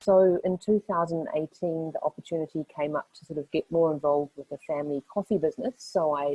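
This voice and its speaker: A fairly low-pitched woman with a New Zealand accent, ordinary pitch variation and a fairly quick pace. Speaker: lawyer. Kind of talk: panel discussion.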